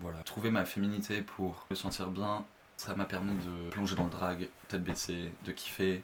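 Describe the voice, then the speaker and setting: A man speaks with a very deep, low pitch. His delivery is fairly slow, and his intonation is monotone and flat. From France, Le Mans (Sarthe). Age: 20s. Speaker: drag performer. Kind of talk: personal testimony. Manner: hesitant, many fillers.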